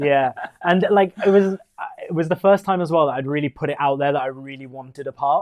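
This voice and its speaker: A man with a West Midlands accent, fairly high in pitch, at a fairly quick pace. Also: ordinary pitch variation. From West Midlands, England (Walsall). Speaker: musical theatre performer. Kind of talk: casual chat. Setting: live stream chat show.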